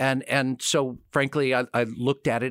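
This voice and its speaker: A man is recorded with a dry, close sound, no echo, and a very clean, silent background. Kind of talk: radio interview. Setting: studio. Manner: down-to-earth.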